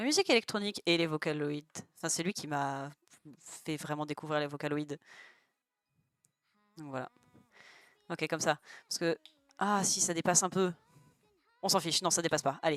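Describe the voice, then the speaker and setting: A woman speaks in a very deep, low pitch with ordinary pitch variation and long, frequent pauses. The sound is dry and close with no echo. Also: moderate pace. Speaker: streamer. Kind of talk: casual chat. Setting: live stream while drawing.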